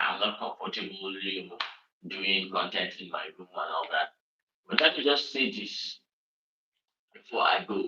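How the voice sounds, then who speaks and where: A man speaks with a northern Nigerian accent. His pace is moderate. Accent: northern Nigerian (Hausa) English. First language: Hausa. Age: 30s. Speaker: online show host. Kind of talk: livestream monologue. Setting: home room, livestream. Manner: frequent filler hesitations (um, uh).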